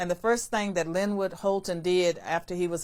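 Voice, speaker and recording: With a Virginia accent, a woman talks at a moderate pace and medium pitch, keeping her intonation fairly even. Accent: Southern US (Virginia). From rural Virginia, US South. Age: 60s. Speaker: former political science professor and commentator. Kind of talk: interview.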